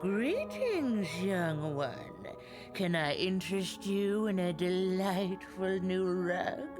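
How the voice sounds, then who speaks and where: Loud music plays behind a woman using a put-on character voice. Her pitch is medium and her pace very slow. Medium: machinima. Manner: cryptic, unhurried.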